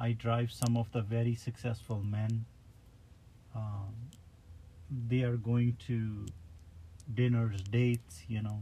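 A man speaks very slowly in a medium-pitched, somewhat breathy voice. His tone is dark and mellow, and his intonation is monotone and flat. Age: 40s. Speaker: driver. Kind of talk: casual chat. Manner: halting.

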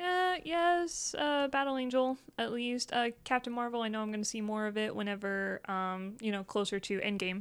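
This woman has a plain, everyday voice with a fairly high pitch. Her intonation is lively, and her pace is moderate. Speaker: streamer. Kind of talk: casual chat about video games.

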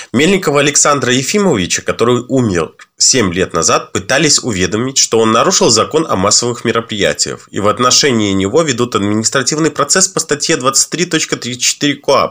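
Bright, sharp male voice at medium pitch, moving at a moderate pace. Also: lively intonation, very even loudness. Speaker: podcast co-host. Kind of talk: news reading.

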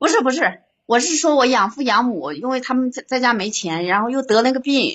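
Lively intonation marks a woman's high-pitched voice. She keeps a fairly quick pace. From Hubei, China. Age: 40s. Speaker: caller. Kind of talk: phone-in confession of life story.

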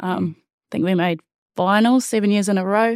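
A woman with a New Zealand accent at a moderate pace, in a dry, close sound with no echo and a very clean recording with a silent background. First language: Māori. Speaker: rugby player. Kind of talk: casual chat.

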